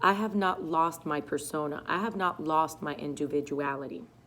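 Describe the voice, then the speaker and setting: A woman talks loudly at a fairly slow pace. Her tone is bright, sharp and animated. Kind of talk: testimony.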